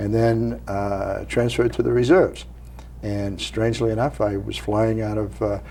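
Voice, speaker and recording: With a Maine accent, a man speaks at a moderate pace. Audible room echo surrounds his voice. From Maine, Portland. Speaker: Vietnam veteran, retired Marine colonel. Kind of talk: interview.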